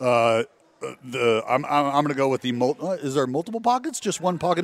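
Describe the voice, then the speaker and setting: Over noticeable background noise, a man with a fairly high pitch speaks at a fairly quick pace in a dry, close sound with no echo. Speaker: baseball TV analyst, former pitcher. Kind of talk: casual sports talk. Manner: animated.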